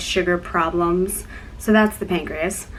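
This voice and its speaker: At a fairly slow pace, a woman speaks at a medium pitch with fairly even intonation. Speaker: YouTuber with a chronic illness. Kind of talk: casual vlog talk. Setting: dorm room.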